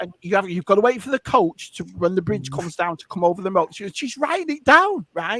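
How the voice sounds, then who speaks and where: A high-pitched man speaks in a raised, projected voice with a bright, sharp, animated tone, lively intonation, big swings in loudness and hardly any pauses. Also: dry, close sound with no echo. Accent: northern English. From northern England. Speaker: live stream co-host. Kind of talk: casual chat. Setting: live stream.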